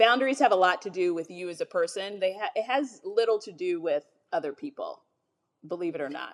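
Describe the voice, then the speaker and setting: A woman talks at a moderate pace with ordinary pitch variation and a plain, everyday voice. The recording is very clean, with a silent background. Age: 30s. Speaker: business executive and minister. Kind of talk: casual chat.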